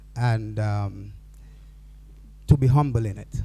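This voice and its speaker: A man's somewhat breathy, dark, mellow voice at medium pitch, very slow pace and fairly even intonation. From Dominica. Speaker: forum speaker. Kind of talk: panel remarks.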